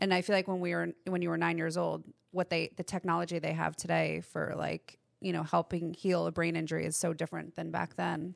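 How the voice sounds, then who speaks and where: A woman at a fairly quick pace, dry and close with no echo, over a quiet background. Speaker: podcast co-host.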